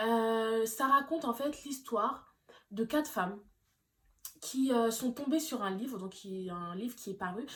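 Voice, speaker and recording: Somewhat breathy, a woman's fairly high voice shows ordinary pitch variation. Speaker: YouTuber reviewing films. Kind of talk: casual vlog monologue. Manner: hesitant, many fillers.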